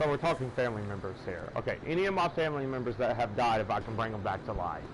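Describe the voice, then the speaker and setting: Very fast male speech at medium pitch, lively intonation, noticeable background noise. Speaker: gaming livestreamer. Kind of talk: casual live stream chat. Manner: loud.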